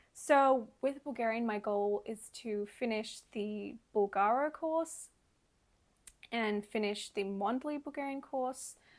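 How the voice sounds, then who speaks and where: The recording is very clean, with a silent background. A woman speaks very slowly at a fairly high pitch, with ordinary pitch variation. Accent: Australian. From Australia. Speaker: language learning vlogger. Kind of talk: casual vlog monologue.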